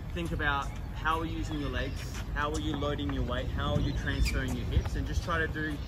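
Over loud background noise, the speaker talks at a very fast pace with ordinary pitch variation. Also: man. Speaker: tennis coach. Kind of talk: coaching explanation. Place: open country.

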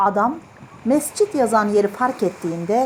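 Lively intonation marks the speaker's unforced reading voice.

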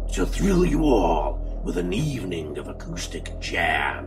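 Music plays behind a man as he speaks. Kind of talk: movie trailer style promo narration.

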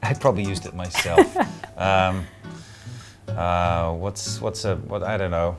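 With clear music in the background, a man with a very deep, low pitch and ordinary pitch variation speaks in big swings of loudness, leaving long, frequent pauses. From Scotland. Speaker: actor. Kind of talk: interview answer. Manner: witty, quick. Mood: playful, joking.

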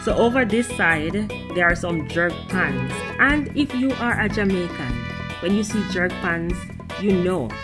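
With clear music behind her, a woman speaks at a fairly slow pace, taking long, frequent pauses. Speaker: travel vlogger. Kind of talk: casual vlog chat. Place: cafe. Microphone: phone near.

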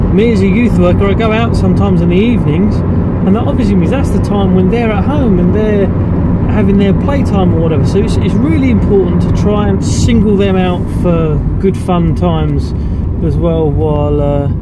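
A man keeps a moderate pace while loud background noise fills the clip. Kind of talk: casual vlog chat. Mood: reflective, candid. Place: car. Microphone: phone near.

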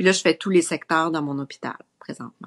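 Against a quiet background, a woman talks with a very deep, low pitch and fairly even intonation. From Quebec. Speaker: maternity nurse; guest. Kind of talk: casual chat. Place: home room. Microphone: video call.

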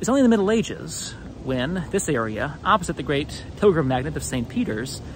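A man talks at a fairly quick pace with very wide pitch swings. The sound is dry with no echo, with light background noise. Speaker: history video host. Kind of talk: walking tour commentary. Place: street. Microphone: phone near.

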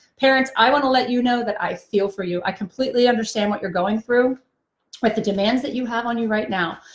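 A woman speaks at a very fast pace with fairly even intonation. Her voice carries audible room echo. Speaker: trainer. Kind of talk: live-stream talk to parents. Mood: warm, empathetic. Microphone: phone near.

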